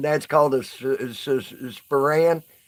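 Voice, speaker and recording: This man's pace is fairly slow. He has a Southern US accent. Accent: southern twang. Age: 40s. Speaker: live streamer. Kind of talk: casual live stream chat. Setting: live stream.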